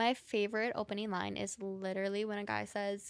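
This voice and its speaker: A woman with a normal speaking voice talks at medium pitch with fairly even intonation. The recording is very clean, with a silent background. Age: 30s. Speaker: podcast host, dating content creator. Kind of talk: casual chat.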